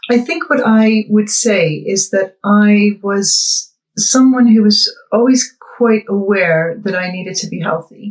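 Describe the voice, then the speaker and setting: A woman in a Boston accent, medium in pitch, at a very slow pace with ordinary pitch variation. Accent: Boston American. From US Northeast, Boston. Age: 50s. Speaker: weight-loss client. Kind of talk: interview testimony. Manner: hesitant, many fillers.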